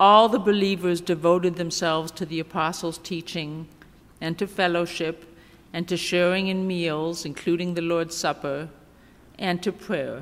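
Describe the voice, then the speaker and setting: A woman's unremarkable speaking voice, fairly low in pitch, at a moderate pace. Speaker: seminary intern preacher. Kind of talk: scripture reading in sermon. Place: church. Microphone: podium.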